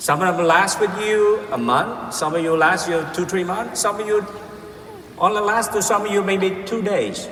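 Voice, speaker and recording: Audible room echo and noticeable background noise surround a man speaking at a high pitch and a fairly slow pace. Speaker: motivational speaker. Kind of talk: keynote speech. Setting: stage with audience. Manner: halting.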